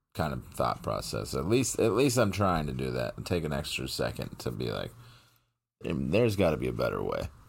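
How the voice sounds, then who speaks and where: This man's very deep, low voice has vocal fry and very wide pitch swings at a moderate pace. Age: 30s. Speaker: podcast co-host. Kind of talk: casual chat.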